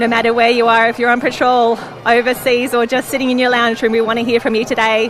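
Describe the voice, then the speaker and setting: Speech at a very fast pace keeps very even loudness over noticeable background noise. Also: woman, fairly high pitch for a woman. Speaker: live stream host. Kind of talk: live event commentary. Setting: outdoors on a beach. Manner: speaking quietly; animated.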